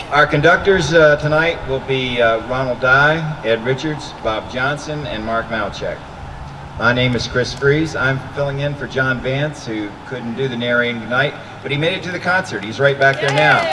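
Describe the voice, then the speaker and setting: A man speaks at a moderate pace with ordinary pitch variation amid noticeable background noise. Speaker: concert narrator. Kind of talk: public announcement. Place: street.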